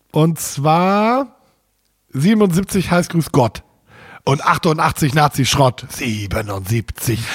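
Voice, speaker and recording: A man speaks at a very slow pace with a fairly high, somewhat breathy voice and very wide pitch swings. His loudness stays very even, broken by long, frequent pauses. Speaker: podcast co-host. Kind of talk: casual chat.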